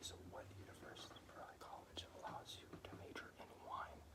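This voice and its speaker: A whispered voice moves at a moderate pace against noticeable background noise. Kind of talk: casual talk to camera reading quiz questions. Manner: casual, conversational, chatty.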